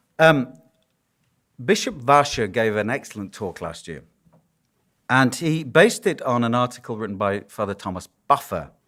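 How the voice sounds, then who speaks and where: A man with a strong Yorkshire accent speaks at a moderate pace in a medium pitch, his lively intonation and big swings in loudness broken by long, frequent pauses, on a very clean recording with a silent background. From northern England, Yorkshire. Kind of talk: conference lecture. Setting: conference hall with audience. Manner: conversational, humorous.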